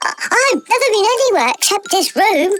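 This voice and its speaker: A put-on character voice comes out squeaky and at an extremely high pitch. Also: moderate pace. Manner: timid, hesitant.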